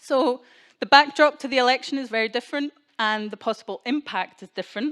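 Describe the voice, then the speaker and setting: Speaking at a fairly quick pace, a woman with a Scottish accent uses a high pitch and ordinary pitch variation. The sound is dry and close with no echo, on a very clean recording with a silent background. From Scotland. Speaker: keynote speaker. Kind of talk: speech to an audience.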